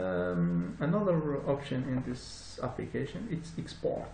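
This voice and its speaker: Through noticeable background noise and audible room echo, a man at medium pitch speaks at a fairly slow pace with very wide pitch swings. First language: not English. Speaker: software tutorial presenter. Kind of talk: tutorial. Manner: halting, many fillers.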